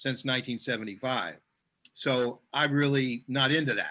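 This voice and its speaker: A man speaks in a monotone with flat intonation. His tone is bright and sharp. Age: 70s. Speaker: superfood customer sharing experience. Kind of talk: testimony in group video chat. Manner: halting, many repeated words.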